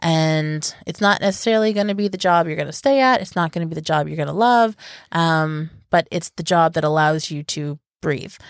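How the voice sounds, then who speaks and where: In a very clean recording with a silent background, a woman with a normal speaking voice talks at a fairly quick pace and a fairly low pitch, with ordinary pitch variation. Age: 30s. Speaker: podcast co-host. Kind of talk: casual chat.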